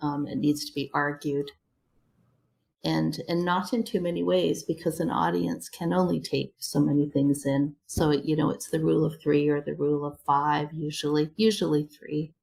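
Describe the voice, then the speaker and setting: With lively intonation, a woman talks at a moderate pace in a very deep, low voice. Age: 60s. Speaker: public speaking coach. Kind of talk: interview. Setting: home front room; video call.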